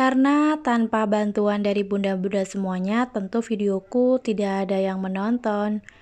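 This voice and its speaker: With a plain, everyday voice, a woman speaks at a moderate pace and fairly even intonation over a quiet background. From Central Java (Kebumen), Indonesia. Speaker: vlogger, housewife. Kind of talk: casual vlog narration. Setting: at home.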